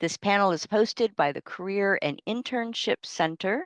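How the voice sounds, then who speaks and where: A woman speaks at a moderate pace in a normal speaking voice, with lively intonation. The sound is dry and close with no echo, over a quiet background. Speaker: university faculty member, panel moderator. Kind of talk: panel moderation on video call. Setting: video call.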